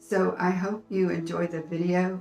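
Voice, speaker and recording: Music plays in the background behind a monotone voice with flat intonation. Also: woman. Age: 70s. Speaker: senior health YouTuber. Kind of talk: casual talk to camera.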